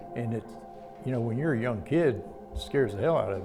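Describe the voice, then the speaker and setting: With music in the background and audible room echo, a man speaks at a medium pitch in a Southern US accent. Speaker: reform school abuse survivor. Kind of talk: testimony.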